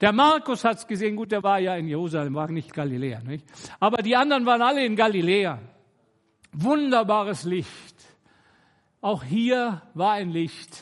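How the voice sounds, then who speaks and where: Speaking with very wide pitch swings, a man with a high pitch leaves long, frequent pauses. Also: moderate pace. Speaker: guest preacher. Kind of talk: sermon.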